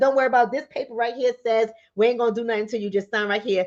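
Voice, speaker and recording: The speaker has a New York accent and an animated tone. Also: woman. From New York, the Bronx. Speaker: livestream host, relationship coach. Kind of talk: live stream talk to viewers. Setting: in bed at home.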